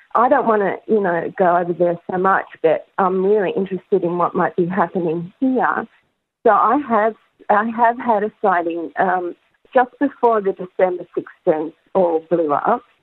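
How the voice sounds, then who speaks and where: A woman's medium-pitched voice at a moderate pace, with an Australian accent. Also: ordinary pitch variation. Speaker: caller. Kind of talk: call-in conversation. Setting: phone call.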